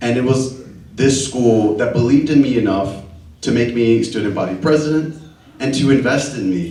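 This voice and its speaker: Speaking at a moderate pace in a medium pitch, a man with a Spanish accent uses ordinary pitch variation while audible room echo surrounds him. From Dallas, Texas (Oak Cliff). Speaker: LGBTQ community leader, panelist. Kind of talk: personal testimony on a panel.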